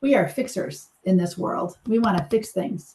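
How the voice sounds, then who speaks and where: A woman's dark, mellow, somewhat breathy voice carries lively intonation. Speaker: suicide prevention trainer. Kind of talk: training lecture. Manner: fast.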